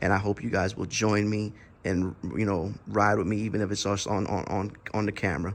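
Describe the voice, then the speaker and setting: A fairly quick delivery runs in a monotone, flat intonation. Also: man, fairly low pitch for a man. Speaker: vlogger, slingshot and motorcycle rider. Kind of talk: casual vlog talk to camera. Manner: halting, many fillers and repeats.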